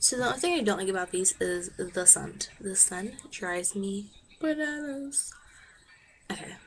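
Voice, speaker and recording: Speech at a moderate pace comes through with noticeable background noise around it. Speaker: beauty vlogger. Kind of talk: product review tutorial. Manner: casual, chatty.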